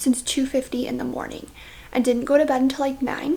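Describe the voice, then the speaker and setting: A quiet, high-pitched woman's voice at a fairly quick pace. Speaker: vlogger, stay-at-home mom. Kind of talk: casual vlog talk to camera.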